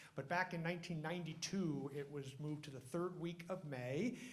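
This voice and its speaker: There is audible room echo as a man speaks at a fairly quick pace with ordinary pitch variation. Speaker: emergency physician hosting award ceremony. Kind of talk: ceremony speech. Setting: stage with audience, microphone.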